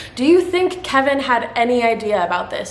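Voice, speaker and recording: Amid noticeable background noise and audible room echo, a woman speaks in an animated tone at a high pitch. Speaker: true crime youtuber. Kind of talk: scripted narration.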